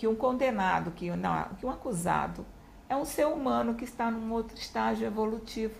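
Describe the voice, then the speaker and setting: There is audible room echo as a woman with a Recife accent speaks at a moderate pace. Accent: northeastern Brazilian (Recife). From Brazil, Recife (Pernambuco). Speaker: retired public prosecutor. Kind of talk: interview.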